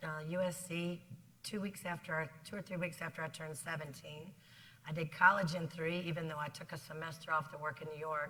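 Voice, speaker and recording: The speaker has an American accent. The tone is bright and sharp. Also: woman. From South Carolina. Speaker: business executive. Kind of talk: interview on stage. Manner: fast; energetic.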